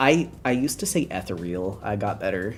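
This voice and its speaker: A woman with an American accent speaks with lively intonation while music plays in the background. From Philadelphia area, US East Coast. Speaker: streamer. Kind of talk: casual chat.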